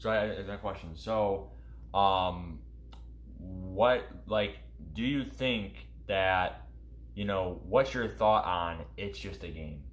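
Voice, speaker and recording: With audible room echo, a man speaks very slowly at a very deep, low pitch, with vocal fry, very wide pitch swings and long, frequent pauses. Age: young. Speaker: gaming YouTube streamer. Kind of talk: casual interview. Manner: halting; animated.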